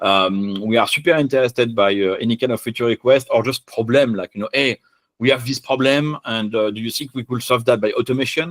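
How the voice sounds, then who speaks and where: A man of medium pitch talks at a fairly quick pace with ordinary pitch variation. The sound is dry and close with no echo, on a very clean recording with a silent background. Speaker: software engineer presenting a conference talk. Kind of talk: technical conference talk with live demo. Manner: fast.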